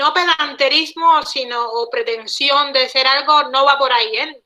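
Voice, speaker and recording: A woman's high voice moves fairly slowly, her pitch varying in an ordinary way. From Cuba. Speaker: guest speaker, Cuban linguist living abroad. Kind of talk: online talk interview. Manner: hesitant with many repetitions.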